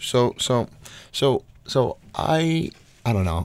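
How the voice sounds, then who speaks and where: The speaker has an American accent. The pitch swings very widely. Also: man. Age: 30s. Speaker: art educator and doctoral candidate. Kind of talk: interview. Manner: halting, many fillers and repeats.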